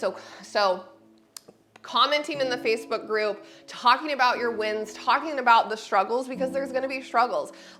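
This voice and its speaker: Lively intonation rides over music playing in the background. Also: woman. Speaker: personal trainer. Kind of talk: fitness class instruction. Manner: fast; chatty, casual.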